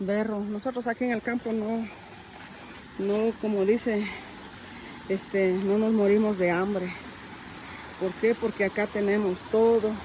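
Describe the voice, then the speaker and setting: A woman with a fairly high pitch speaks at a fairly slow pace, her intonation monotone and flat. Long, frequent pauses break up her speech amid noticeable background noise. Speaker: rural vlogger. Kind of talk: casual vlog walkthrough. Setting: outdoors in fields by a stream.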